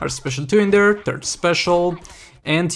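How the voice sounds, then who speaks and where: A man speaks with a Romanian accent at a moderate pace. His pitch variation is ordinary. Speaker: gaming YouTuber. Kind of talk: gameplay commentary.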